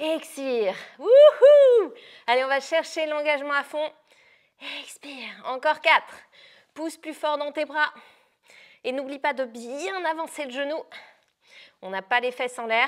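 A woman with a high pitch speaks at a very slow pace, leaving long, frequent pauses. The background is quiet. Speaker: fitness instructor. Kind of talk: workout coaching instructions. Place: gym.

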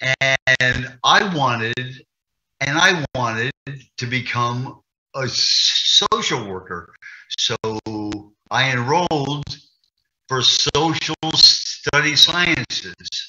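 Over a quiet background, a man talks at a very slow pace with long, frequent pauses and ordinary pitch variation. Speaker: interviewee. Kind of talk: interview answer. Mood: earnest, emotional personal story. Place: home room. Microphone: video call.

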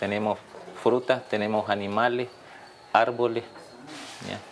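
A man talks at a fairly slow pace. There is light noise in the background. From Nicaragua, San Juan del Sur; Nicaragua. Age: 50s. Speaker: artist. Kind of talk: casual explanation of his artworks. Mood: proud, relaxed. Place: home room. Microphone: lapel.

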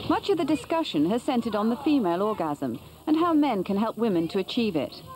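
A woman speaks at a fairly quick pace and a fairly high pitch, with big pitch swings and a slightly mellow tone. Faint music plays in the background.

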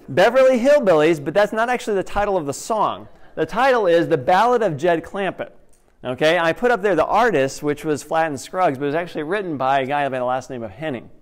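A man speaks at a very fast pace. The background is quiet. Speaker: preacher. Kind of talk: sermon. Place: church. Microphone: headset.

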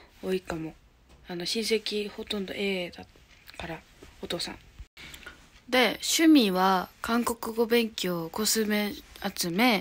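A woman speaks at a very slow pace with long, frequent pauses, big swings in loudness, and ordinary pitch variation. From Japan, Hyogo. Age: 20s. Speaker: YouTuber; vlogger. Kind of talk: casual self-introduction vlog. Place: home room. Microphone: phone near.

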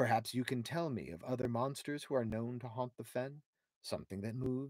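An unforced reading voice, with fairly even intonation, comes through against a quiet background.

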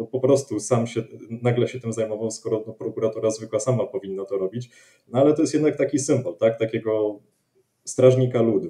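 A man with a dark, mellow tone speaks at a moderate pace with ordinary pitch variation against a quiet background. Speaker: political commentator. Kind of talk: panel discussion. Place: home room. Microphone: video call.

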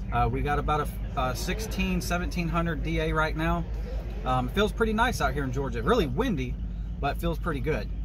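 A man speaks at a moderate pace with a very deep, low pitch and flat, monotone intonation. Noticeable background noise runs behind him. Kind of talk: casual vlog chat. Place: car. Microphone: phone near.

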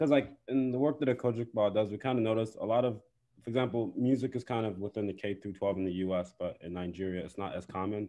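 With an American accent, a man speaks at a very fast pace against a quiet background. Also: ordinary pitch variation. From US Midwest. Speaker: music teacher and event organizer; music teacher. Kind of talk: event moderation. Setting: video call. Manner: halting. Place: home room. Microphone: video call.

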